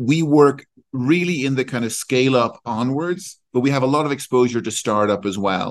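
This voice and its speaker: With an Irish accent, a man speaks at a moderate pace. His pitch sits in the medium range. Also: ordinary pitch variation. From Ireland. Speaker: executive recruiter. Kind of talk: interview.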